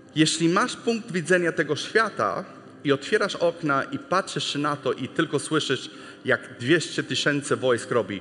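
Speaking at a fairly slow pace, a man with an English accent uses a fairly high pitch and lively intonation. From US, Texas. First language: English (speaking Polish). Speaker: missionary preacher. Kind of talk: sermon.

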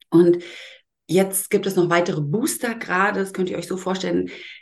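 Vocal fry runs through this woman's voice. Her pitch sits in the medium range. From Germany, Berlin. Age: 40s. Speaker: Reiki master and educator. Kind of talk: podcast interview.

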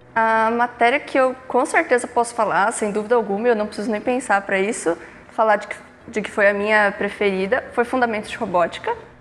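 Fairly high female voice, fairly quick, with ordinary pitch variation and noticeable background noise. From São Paulo metro area, Brazil. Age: 20s. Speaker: engineering student and intern. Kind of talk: casual interview.

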